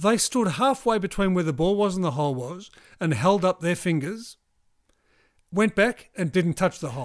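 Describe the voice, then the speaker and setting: A high-pitched man with a New Zealand accent, lively intonation, a moderate pace and long, frequent pauses, on a very clean recording with a silent background. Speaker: golf podcast co-host. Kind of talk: casual chat. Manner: animated.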